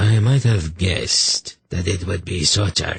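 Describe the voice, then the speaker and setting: A man puts on a character voice pitched very deep and low, speaking at a fairly slow pace. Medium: read story. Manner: cold, expressionless.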